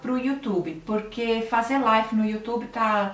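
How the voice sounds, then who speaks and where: Over noticeable background noise and audible room echo, a woman in a São Paulo accent speaks at a fairly high pitch and a fairly slow pace with ordinary pitch variation. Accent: Brazilian Portuguese, paulistano. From Brazil, São Paulo city. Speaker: health and nutrition channel host. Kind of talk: live stream talk to viewers, reading comments. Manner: conversational, with hesitations and self-corrections. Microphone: laptop camera, weak audio quality.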